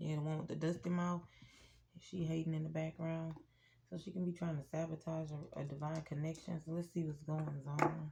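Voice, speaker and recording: Her voice very deep and low for a woman, she speaks at a fairly quick pace in a dark, mellow, somewhat breathy tone with monotone, flat intonation. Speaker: tarot reader. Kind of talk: tarot reading. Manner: speaking low; casual.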